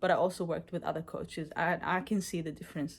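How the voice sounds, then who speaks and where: At a fairly quick pace, a woman with a non-native accent speaks at a medium pitch on a very clean recording with a silent background. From Israel. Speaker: coaching client, bodybuilder. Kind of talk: testimony. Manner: halting, many fillers.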